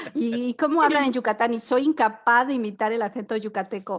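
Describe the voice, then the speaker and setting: Ordinary pitch variation in an ordinary speaking voice. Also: woman. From Spain. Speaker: podcast co-host. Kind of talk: casual chat.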